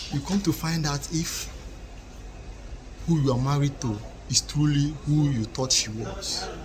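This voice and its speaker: With an African accent and a fairly high pitch, a man talks at a fairly slow pace with ordinary pitch variation and long, frequent pauses, while background noise is noticeable. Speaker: relationship commentator. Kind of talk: casual monologue to camera, advice.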